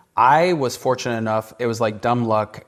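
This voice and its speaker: Against a quiet background, a man talks at a moderate pace and medium pitch in an ordinary speaking voice. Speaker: entrepreneur. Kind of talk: casual advice talk.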